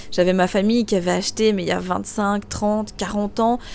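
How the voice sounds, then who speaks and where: This woman has an unremarkable speaking voice, pitched in the medium range, with fairly even intonation. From Belgium. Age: 20s. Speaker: real estate investor and coach. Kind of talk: interview.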